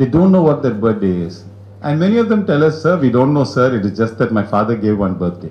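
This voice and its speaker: Over noticeable background noise, a man at a medium pitch talks very fast, his pitch swinging very widely. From India, Chennai. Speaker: business owner, guest speaker. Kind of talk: talk to business audience.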